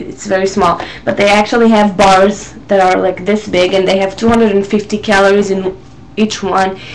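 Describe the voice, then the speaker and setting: Moderate pace in an Israeli accent, with noticeable background noise. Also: woman. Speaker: vlogger. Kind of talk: casual talk to camera. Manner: hesitant, many fillers.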